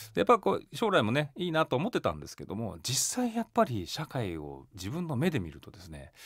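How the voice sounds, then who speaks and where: Speaking at a fairly quick pace with hardly any pauses, a man is heard in a very clean recording with a silent background. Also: big swings in loudness. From Japan, Yokohama, Kanagawa. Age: 40s. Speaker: company chairman. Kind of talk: radio interview.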